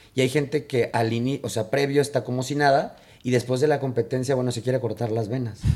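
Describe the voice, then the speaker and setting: A man with a Mexican accent and medium pitch speaks at a very fast pace with fairly even intonation. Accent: Mexican Spanish (Jalisco). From Mexico, Guadalajara (Jalisco). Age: 30s. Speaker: escaramuza riding coach. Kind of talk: casual interview chat.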